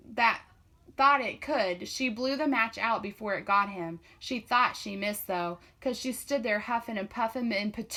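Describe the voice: Someone is doing plain reading aloud here.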